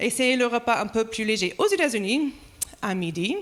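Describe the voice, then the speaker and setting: A woman is speaking. Her accent is American, so she talks with an American accent. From United States. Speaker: pastor. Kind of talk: sermon.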